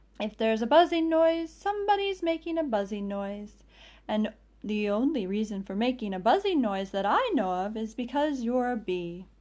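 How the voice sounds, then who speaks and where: Growling in a put-on character voice, a woman speaks at a moderate pace with a fairly high pitch. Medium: read story. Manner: slow, ponderous, earnest.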